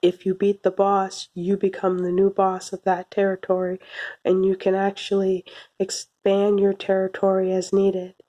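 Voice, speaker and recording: Soft-spoken and monotone, a woman talks at a moderate pace and medium pitch in a dark, mellow tone with flat intonation, the sound dry and close with no echo. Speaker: anime reviewer. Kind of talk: video review monologue. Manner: hesitant, with fillers.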